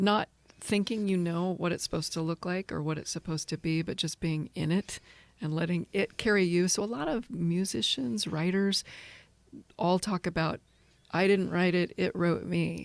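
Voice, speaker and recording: A woman with an American accent speaks at a moderate pace in a fairly low voice, with ordinary pitch variation and a dry, close sound that has no echo. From rural Kansas, USA. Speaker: actress, filmmaker and film professor. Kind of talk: interview answer.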